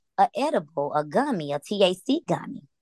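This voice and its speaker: A woman with an American accent talks at a fairly slow pace with lively intonation in an ordinary speaking voice, the sound dry and close with no echo. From US South, Atlanta. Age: 30s. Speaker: cannabis user sharing her story. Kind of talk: interview testimony.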